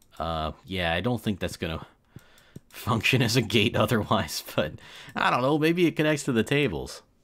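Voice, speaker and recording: On a very clean recording with a silent background, a man with an American accent speaks at a moderate pace and a medium pitch, with very wide pitch swings. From US. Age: 20s. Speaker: gaming streamer. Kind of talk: casual live stream chat.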